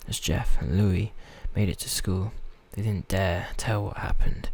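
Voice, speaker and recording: Over noticeable background noise, a soft-spoken man talks at a moderate pace with fairly even intonation. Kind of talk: story reading, a bit halting.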